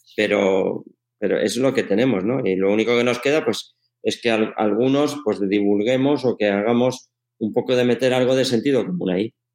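In a plain, everyday voice, a man speaks at a moderate pace and medium pitch, with ordinary pitch variation and very even loudness. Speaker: sports science professor and coach. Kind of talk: interview.

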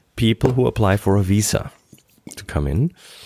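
In a very clean recording with a silent background, a man with a German accent speaks in a fairly low, dark, mellow voice that swings very widely in pitch, the sound dry and close with no echo. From Germany. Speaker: podcast host. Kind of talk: casual chat. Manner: halting, filler-heavy.

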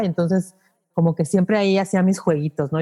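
A woman's fairly low, dark, mellow voice has ordinary pitch variation in a dry, close recording with no echo. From Mexico City. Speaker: podcast teacher and broadcaster. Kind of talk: interview.

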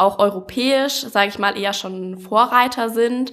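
Noticeable background noise runs under a woman talking at a moderate speed. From Allgäu, Bavaria (Kaufbeuren). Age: 20s. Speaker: student, startup project lead. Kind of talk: interview. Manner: many filler sounds (ähm).

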